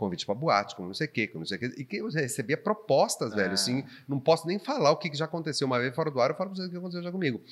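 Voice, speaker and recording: Talking at a very fast pace, a man with a fairly high pitch and vocal fry makes very wide pitch swings. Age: 40s. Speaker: podcast host and local TV presenter. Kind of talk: casual chat.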